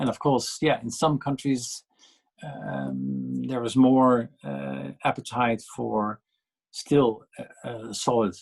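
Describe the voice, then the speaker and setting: A man with a Dutch accent at a very slow pace, medium pitch and very wide pitch swings. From Netherlands. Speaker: policy panelist. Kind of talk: panel discussion. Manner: halting, many fillers and repetitions.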